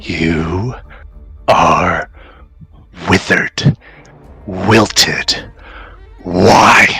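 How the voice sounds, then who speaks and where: A man's put-on character voice, fairly low-pitched and very slow, with long, frequent pauses and faint music in the background. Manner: ominous, accusing.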